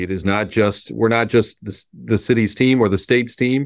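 Here a man speaks in a medium register, his pitch varying in an ordinary way. The audio is very clean and the background is silent. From Miami, Florida (Cuban-American family). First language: Spanish. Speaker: sports team executive. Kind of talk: interview.

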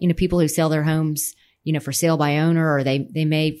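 A woman speaks with an American accent in a very deep, low voice with flat, monotone intonation. The recording is very clean with a silent background. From Texas, San Antonio (Alamo Heights). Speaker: real estate company president. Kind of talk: casual interview.

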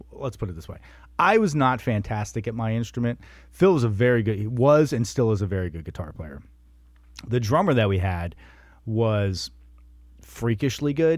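Speaking with an American accent at a moderate pace, the voice has lively intonation, big swings in loudness, and long, frequent pauses, all on a very clean recording with a silent background. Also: man, medium pitch for a man. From US East Coast, Wilmington, Delaware. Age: 40s. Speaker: podcaster and musician. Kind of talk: casual interview chat.

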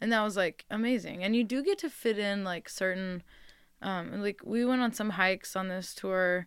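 In a very clean recording with a silent background, a woman speaks with an American accent and an unremarkable speaking voice. Her medium pitch has ordinary variation, and her pace is moderate. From California, San Francisco Bay Area suburbs. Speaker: singer-songwriter. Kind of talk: casual interview chat. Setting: radio studio.

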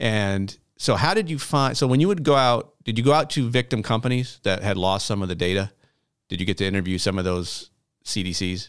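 On a very clean recording with a silent background, a man uses an ordinary speaking voice, fairly low in pitch, with lively intonation at a fairly quick pace. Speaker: podcast host. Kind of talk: casual interview.

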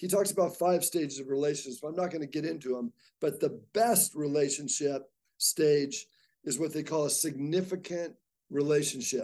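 An American accent marks this man's fairly high, dark, mellow voice. His pace is moderate, with ordinary pitch variation. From Southern California. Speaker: athletic director. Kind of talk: interview.

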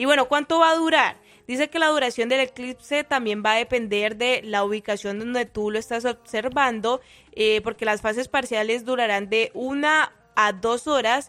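A woman with a Colombian accent speaks at a moderate pace in a fairly high, bright, sharp voice with ordinary pitch variation. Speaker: radio co-host. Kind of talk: casual radio chat.

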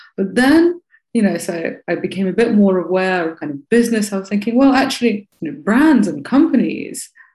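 Somewhat breathy and dark, mellow in tone, a woman's voice sits fairly high in pitch and moves with lively intonation. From Russia, Moscow. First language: Russian. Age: 30s. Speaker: tech educator and entrepreneur. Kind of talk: interview.

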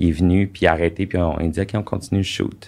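This man has a very deep, low pitch and a Quebec accent. He talks at a moderate pace with fairly even intonation. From Quebec (Sherbrooke, Eastern Townships). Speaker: former adult film actor. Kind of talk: casual interview.

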